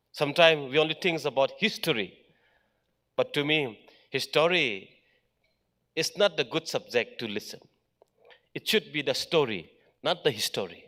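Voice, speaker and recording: A man with a fairly high pitch speaks at a moderate pace in a bright, sharp tone with lively intonation and vocal fry. Long, frequent pauses break up his speech on a very clean recording with a silent background. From India, Meghalaya, Garo tribe. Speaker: state education minister. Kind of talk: ceremonial speech.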